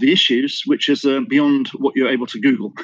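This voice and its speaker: Speaking at a fairly quick pace with a British accent, a man uses a fairly high pitch with very wide pitch swings. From Britain. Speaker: business intelligence consultant. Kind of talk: interview. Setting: remote call from Singapore.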